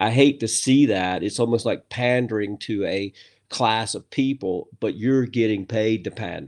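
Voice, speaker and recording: With an American accent and a normal speaking voice, a man talks at a moderate pace and a fairly low pitch, his intonation fairly even against a quiet background. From USA, rural farm background. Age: 50s. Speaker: author and business leader. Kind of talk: casual interview chat.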